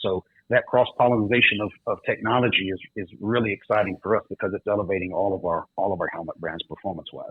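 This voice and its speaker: Talking at a very fast pace, a man uses a fairly low pitch and fairly even intonation. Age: 40s. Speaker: helmet company sales executive. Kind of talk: interview.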